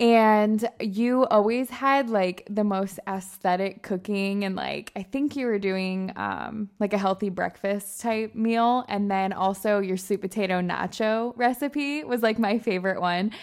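Speaking in a normal speaking voice with an American accent, a woman keeps a medium pitch and fairly even intonation at a fairly slow pace. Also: hardly any pauses. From Michigan. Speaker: lifestyle and fitness influencer. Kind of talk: casual chat.

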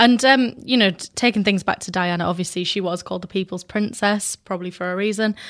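In a British accent, a woman speaks at a very fast pace and a medium pitch with hardly any pauses. Her intonation is fairly even, and the recording is very clean with a silent background. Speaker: podcast presenter. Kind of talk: casual chat.

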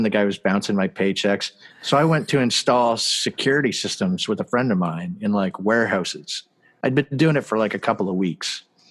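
Using lively intonation at a fairly quick pace, a man with a Canadian accent has an ordinary speaking voice. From Canada. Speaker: visual artist and filmmaker. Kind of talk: interview over video call. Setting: video call. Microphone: spotty Wi-Fi audio issues.

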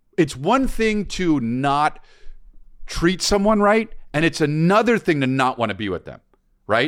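Over a very clean recording with a silent background, a man talks at a fairly slow pace in an animated tone, his pitch swinging very widely. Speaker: comedian and advice podcast co-host. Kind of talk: casual chat. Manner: loud.

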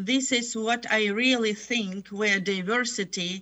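Music plays in the background as a woman talks at a very slow pace. Her fairly high voice has ordinary pitch variation. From Ukraine. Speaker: international educator. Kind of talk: panel discussion.

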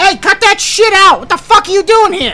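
An extremely high, put-on character voice at a moderate pace. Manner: angry.

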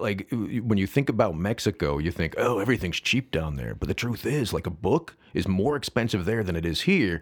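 A man with a plain, everyday voice speaks at a fairly low pitch and a moderate pace, his intonation lively. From US Midwest, Saint Charles, Illinois. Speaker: nonprofit founder and agave advocate. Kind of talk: casual chat. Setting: studio.

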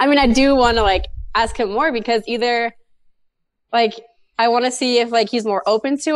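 An ordinary speaking voice delivers the words with fairly even intonation. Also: woman. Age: 20s. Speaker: caller. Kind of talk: advice call.

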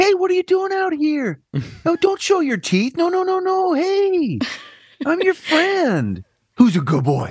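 The pitch is extremely high in this put-on character voice. Its delivery is fairly slow. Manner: sweet, coaxing.

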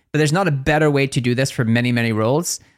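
A voice with a Northern Irish accent comes through dry and close with no echo, on a very clean recording with a silent background. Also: man. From Northern Ireland. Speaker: podcast co-host. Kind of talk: casual chat. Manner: fast talker.

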